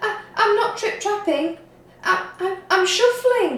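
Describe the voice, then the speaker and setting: A woman's squeaky, extremely high put-on character voice at a fairly slow pace, with slight echo. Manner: nervous, stammering.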